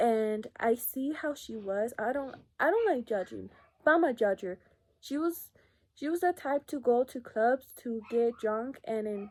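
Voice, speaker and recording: In a very clean recording with a silent background, a woman with an ordinary speaking voice talks at a fairly slow pace and a fairly high pitch. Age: 20s. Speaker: lash business owner and vlogger. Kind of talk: casual vlog chat. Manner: casual, filler-heavy.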